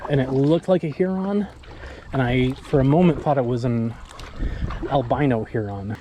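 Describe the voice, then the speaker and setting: Lively intonation from a man, set against noticeable background noise. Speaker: kayak vlogger. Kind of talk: casual vlog narration. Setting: outdoors on a river, paddling.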